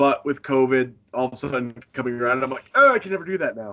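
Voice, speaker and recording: Bright and sharp in tone, a man speaks at medium pitch with an American accent. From Northern Maine, US. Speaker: professional wrestler. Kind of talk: casual interview. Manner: halting, frequent false starts.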